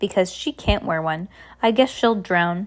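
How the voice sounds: This clip is read in a natural reading voice.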